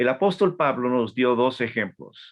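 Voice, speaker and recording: A man talks at a fairly slow pace. His medium-pitched voice has lively intonation. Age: 60s. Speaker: Bible institute teacher, missionary. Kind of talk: lecture. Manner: halting, frequent repetitions.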